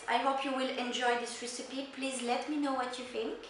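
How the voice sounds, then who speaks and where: A woman with a French accent speaks at a high pitch and a moderate pace. Noticeable background noise and audible room echo surround her. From Italy. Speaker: chef. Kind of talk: cooking tutorial; video sign-off. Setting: home kitchen. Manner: animated.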